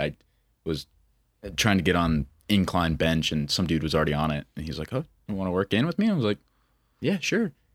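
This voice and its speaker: Talking very fast with lively intonation and an American accent, a man is captured in a very clean, dry, close recording with a silent background and no echo. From Montana. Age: 20s. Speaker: country musician and social media creator. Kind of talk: casual chat.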